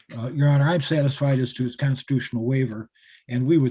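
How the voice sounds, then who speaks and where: A man at a very fast pace, medium in pitch, with a dark, mellow tone and a somewhat breathy sound. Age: 60s. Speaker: defense attorney. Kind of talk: court hearing. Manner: hesitant, many fillers.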